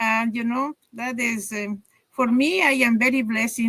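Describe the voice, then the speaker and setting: A woman with an Ecuadorian accent speaks at a moderate pace in a fairly high, bright, sharp tone, her intonation fairly even and the sound dry and close with no echo. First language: Spanish. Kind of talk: interview. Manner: halting, many fillers.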